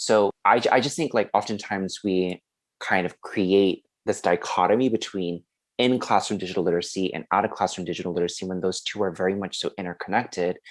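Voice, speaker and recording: Speaking fairly quickly with fairly even intonation and a Korean accent, this voice comes through in a very clean recording with a silent background and a dry, close sound with no echo. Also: man, very deep, low pitch for a man. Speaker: podcast host, education student. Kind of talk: podcast discussion.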